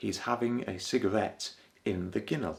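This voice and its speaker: With a Yorkshire accent, a man speaks at a fairly low pitch with vocal fry. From Yorkshire, northern England. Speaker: English teacher. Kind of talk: language lesson to camera.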